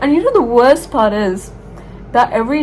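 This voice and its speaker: Through audible room echo and noticeable background noise, a woman speaks with an American accent. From Dubai, UAE (Indian background). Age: 18. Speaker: vlogger, university student. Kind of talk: casual vlog talk. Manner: eating while talking.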